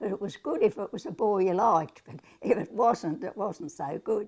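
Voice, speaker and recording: A woman with an Australian accent speaks at a moderate pace, her lively intonation touched with vocal fry. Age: 80s+. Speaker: centenarian interviewee. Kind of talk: interview reminiscence.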